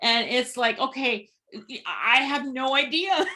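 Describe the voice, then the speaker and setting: Her voice raised and projected, a woman speaks at a fairly slow pace with a high pitch. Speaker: podcast host. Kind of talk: podcast host conversation.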